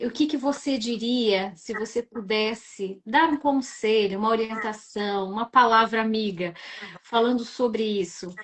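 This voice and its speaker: In an unremarkable speaking voice, a woman talks at a fairly slow pace with a fairly high pitch and ordinary pitch variation. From southern Brazil, Rio Grande do Sul. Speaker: live-stream host. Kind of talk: live-stream interview.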